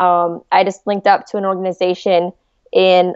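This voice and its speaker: With an American accent, a woman talks at a moderate pace and a medium pitch. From West Virginia. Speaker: podcast host and doctor. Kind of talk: casual interview. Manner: animated.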